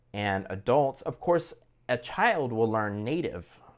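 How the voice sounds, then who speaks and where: In a very clean recording with a silent background, a man talks with an American accent. His pitch is medium, his pace fairly slow, and his intonation lively. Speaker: language learning vlogger. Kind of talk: casual monologue. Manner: animated; halting, many repetitions.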